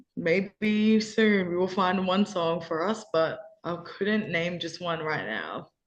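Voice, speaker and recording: Very slow female speech in an Australian accent, medium in pitch, with ordinary pitch variation. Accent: Australian, taken for British by teammates. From Australia, Perth. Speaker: college basketball player. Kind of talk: interview. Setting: video call.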